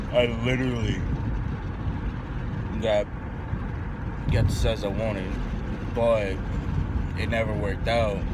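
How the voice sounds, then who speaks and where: Against loud background noise, a man talks at a fairly slow pace with long, frequent pauses in a dry sound with no echo. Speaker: vlogger. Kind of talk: casual vlog chat. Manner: drowsy, halting speech after a yawn. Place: car. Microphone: phone near.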